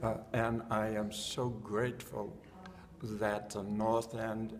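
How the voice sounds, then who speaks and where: A man speaks at a very slow pace with a fairly low pitch and monotone, flat intonation. Audible room echo and noticeable background noise fill the recording. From Boston, Massachusetts (West End). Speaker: former neighborhood resident. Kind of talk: oral history interview.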